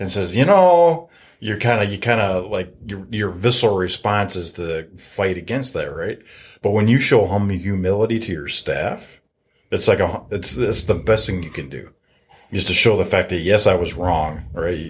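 Speaking at a moderate pace in a fairly low, somewhat breathy voice with ordinary pitch variation, a man with an American accent is heard on a very clean recording with a silent background. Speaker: real estate investor. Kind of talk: casual chat.

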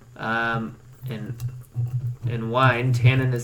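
In an American accent, a man talks at a medium pitch with fairly even intonation. Audible room echo and noticeable background noise surround his voice. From Nebraska. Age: 20s. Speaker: podcast host, art student. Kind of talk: casual chat. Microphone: earbuds, echoey sound.

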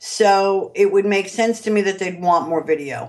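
A woman speaks with a New York accent at a fairly slow pace. Her intonation is lively. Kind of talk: interview. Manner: animated.

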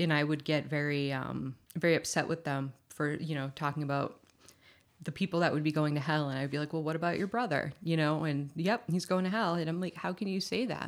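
With an American accent, a woman speaks at a fairly quick pace and a very deep, low pitch. The recording is very clean, with a silent background. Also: ordinary pitch variation. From Massachusetts, US. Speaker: recovering alcoholic sharing her story. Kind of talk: casual chat.

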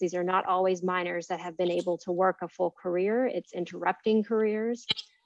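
Here a woman talks at a moderate pace. Her pitch is medium. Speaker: policy director at law center. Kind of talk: press conference speech. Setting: press conference.

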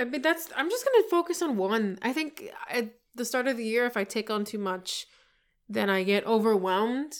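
In a plain, everyday voice, a woman talks at a moderate pace with fairly high pitch and lively intonation, on a very clean recording with a silent background. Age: 20s. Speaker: nurse running for Congress. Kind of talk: casual chat.

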